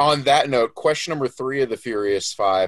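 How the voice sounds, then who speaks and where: Against a quiet background, a man with an American accent has an unremarkable speaking voice, talking at a fairly quick pace with ordinary pitch variation. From Florida, US. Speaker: podcast co-host. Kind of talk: casual chat.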